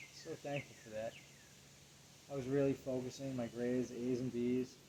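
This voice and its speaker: Soft-spoken and monotone, a man speaks fairly quickly with flat intonation. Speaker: vlogger. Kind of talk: personal monologue. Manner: subdued, low-energy.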